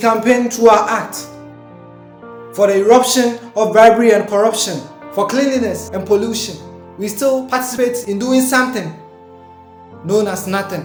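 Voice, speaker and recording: Speech comes at a moderate pace with long, frequent pauses. Music is in the background. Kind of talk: spoken word poetry performance.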